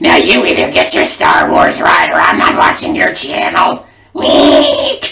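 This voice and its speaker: Done in a put-on character voice, the speech is high-pitched, raspy and fairly slow. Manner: angry.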